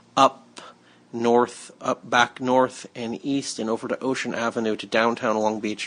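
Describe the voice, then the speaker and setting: A man's medium-pitched voice in a flat monotone. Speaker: podcast host and tour guide. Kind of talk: casual chat. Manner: halting, many repetitions.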